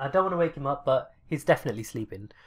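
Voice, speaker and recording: A voice with a British accent comes through on a very clean recording with a silent background. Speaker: gaming YouTuber. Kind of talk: casual reaction commentary.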